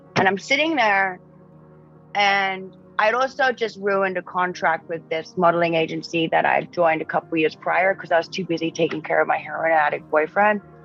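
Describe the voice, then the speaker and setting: A woman speaks at a fairly quick pace with a fairly low pitch and ordinary pitch variation. Music plays in the background. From Australia. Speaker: model and writer. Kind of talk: casual interview chat. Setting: podcast.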